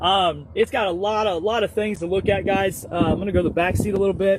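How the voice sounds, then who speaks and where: Over noticeable background noise, a man speaks in a high-pitched voice. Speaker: talk show co-host. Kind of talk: casual vehicle walkaround. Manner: mumbling.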